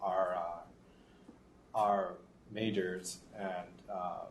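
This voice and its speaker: In a room with audible echo, a man with a slight Boston accent speaks in a fairly low, monotone, flat voice. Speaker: professor. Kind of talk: panel introduction. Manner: halting.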